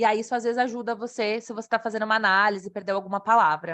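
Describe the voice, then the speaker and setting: The background stays quiet. A woman rattles off her words at a very fast pace. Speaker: evaluator presenting software. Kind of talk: online presentation with chat Q&A.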